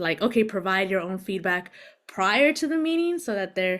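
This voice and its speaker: The woman here speaks at a medium pitch. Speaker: panel moderator, college instructor. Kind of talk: panel discussion. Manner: fast.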